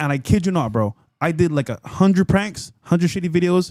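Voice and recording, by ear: Fairly high-pitched male voice, slightly mellow in tone, with lively intonation at a moderate pace and a dry, close sound with no echo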